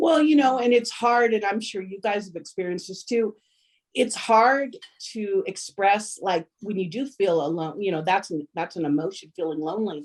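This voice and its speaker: An ordinary speaking voice from a woman, lively in intonation, at a moderate pace. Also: medium pitch for a woman. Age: 60s. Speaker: family member, mother. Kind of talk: casual chat.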